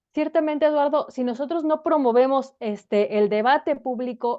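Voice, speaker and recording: A woman talks at a moderate pace with ordinary pitch variation. She has a normal speaking voice. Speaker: political scientist. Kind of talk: interview.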